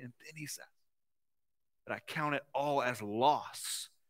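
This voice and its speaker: A man with a Southern US accent speaks in a bright, sharp tone on a very clean recording with a silent background. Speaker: pastor. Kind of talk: sermon. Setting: church.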